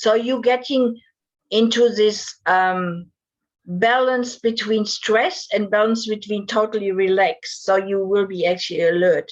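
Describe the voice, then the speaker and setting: A woman with a German accent, fairly high in pitch, at a fairly slow pace and ordinary pitch variation. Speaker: divorce and breakup coach. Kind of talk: interview.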